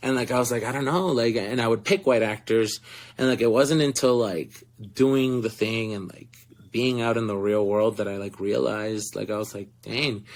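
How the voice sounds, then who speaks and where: The voice carries an animated tone with ordinary pitch variation in a Spanish accent. It moves at a moderate pace. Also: man, medium pitch for a man. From Florida. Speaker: actor. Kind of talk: interview. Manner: animated storytelling.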